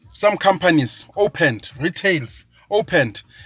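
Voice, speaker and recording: Over music in the background, a man speaks with an animated tone and a high pitch, swinging very widely up and down. The sound is dry and close, with no echo. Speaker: social commentator. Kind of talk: political rant. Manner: slow; emphatic, animated.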